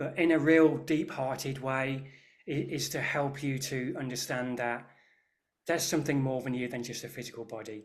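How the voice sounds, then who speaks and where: An English Midlands accent with fairly even intonation and audible room echo. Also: man. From English Midlands, near Birmingham. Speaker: Reiki master and energy healer. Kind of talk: interview chat. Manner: hesitant, with fillers and restarts.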